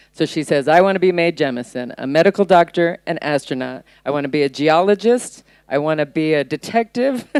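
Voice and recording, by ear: Here a woman's low-pitched voice moves at a fairly quick pace with lively intonation. Her tone is clear, smooth and slightly mellow, and the sound is dry and close with no echo.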